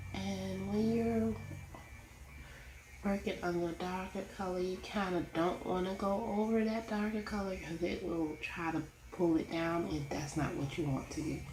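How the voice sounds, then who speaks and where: Mumbling at a fairly slow pace, a woman has a fairly low pitch and lively intonation, with audible room echo around her. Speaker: coloring YouTuber. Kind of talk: casual tutorial. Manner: quiet, not projecting.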